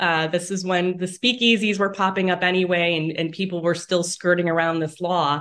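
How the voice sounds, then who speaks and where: Speaking in an Inland North US accent, a woman talks at a moderate pace and a medium pitch. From Northeast Ohio, Lake County. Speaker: author and journalist. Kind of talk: interview.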